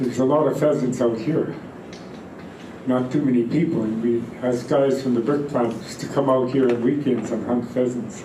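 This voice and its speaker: Against noticeable background noise and audible room echo, a man speaks at a moderate pace and medium pitch with fairly even intonation. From British Columbia, Fraser River area. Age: 80s+. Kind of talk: storytelling talk to gathering.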